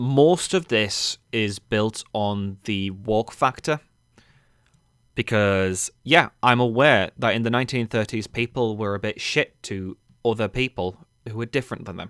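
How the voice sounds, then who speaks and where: In a dry, close sound with no echo, a man with an English accent speaks fairly slowly at a medium pitch with ordinary variation. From England. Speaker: gaming commentator. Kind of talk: rant. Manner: informal, swearing-laced.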